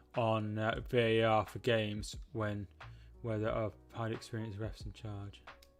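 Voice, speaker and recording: A man with a West Midlands accent at a moderate pace, music in the background. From Shropshire, English West Midlands. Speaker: football streamer. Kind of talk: live watchalong chat with viewers. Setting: live stream. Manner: halting.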